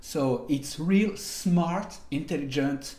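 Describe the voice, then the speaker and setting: In a French accent, a man speaks with ordinary pitch variation amid audible room echo. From France, French Riviera; France. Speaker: programming instructor; online course instructor. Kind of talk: online course tutorial. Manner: hesitant, many fillers. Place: home room.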